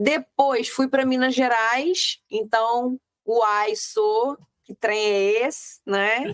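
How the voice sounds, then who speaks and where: A woman talks at a very slow pace in a high pitch with ordinary pitch variation. The sound is dry and close, with no echo. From Rio de Janeiro, Brazil. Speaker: real estate mentor. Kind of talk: interview podcast chat.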